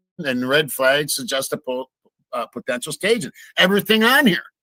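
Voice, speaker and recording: A man speaks with a bright, sharp tone at a fairly high pitch. The sound is dry and close, with no echo. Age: 60s. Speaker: true crime commentator. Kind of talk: casual livestream discussion.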